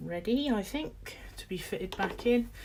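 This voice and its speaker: A woman with a British accent at a fairly slow pace. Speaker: model railway hobbyist streamer. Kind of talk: live stream tutorial.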